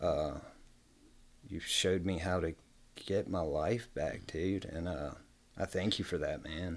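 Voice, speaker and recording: A man talks at a very slow pace with very deep, low pitch. His intonation stays fairly even. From Virginia (Bedford, small town). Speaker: person in addiction recovery, community navigator. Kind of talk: recovery testimony in radio interview.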